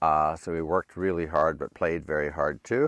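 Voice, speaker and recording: A man speaks with vocal fry and fairly even intonation. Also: quiet background. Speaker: retired plastic surgeon. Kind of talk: casual chat.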